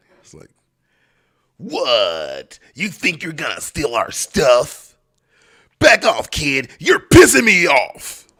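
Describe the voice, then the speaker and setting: A man performs a put-on character voice, raised and projected, with big swings in loudness. He talks at a very slow pace, leaving long, frequent pauses. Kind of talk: tough, confrontational. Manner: menacing, threatening.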